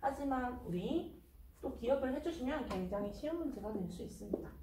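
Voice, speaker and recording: A woman with a high pitch speaks at a moderate pace, with audible room echo around her. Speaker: math tutor. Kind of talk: tutorial.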